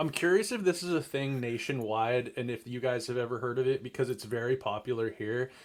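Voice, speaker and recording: An unremarkable speaking voice with an American accent and ordinary pitch variation. The pace is fairly quick, with hardly any pauses. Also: man, medium pitch for a man. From Seattle. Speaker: sports podcast co-host. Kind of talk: casual chat.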